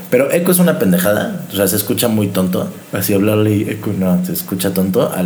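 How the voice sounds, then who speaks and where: With a Mexican accent, a man speaks at a fairly quick pace with a fairly low pitch, very wide pitch swings and very even loudness, amid noticeable background noise and audible room echo. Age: 20s. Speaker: podcast host. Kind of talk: casual chat.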